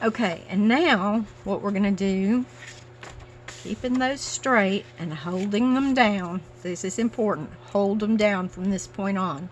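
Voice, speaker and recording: Her intonation is lively. The woman speaks with a Southern US accent. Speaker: paper craft youtuber. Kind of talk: crafting tutorial. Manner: casual, chatty.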